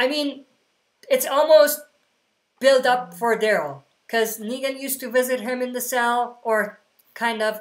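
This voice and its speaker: Her voice is high, and her intonation stays fairly even. The woman speaks fairly slowly, with long, frequent pauses. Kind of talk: livestream q&a. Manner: casual; mumbling.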